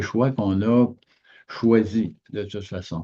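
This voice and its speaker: A man speaks with a fairly low pitch and a dark, mellow tone. His pitch varies in an ordinary way against a quiet background. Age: 70s. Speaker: business coach. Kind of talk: motivational talk. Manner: halting.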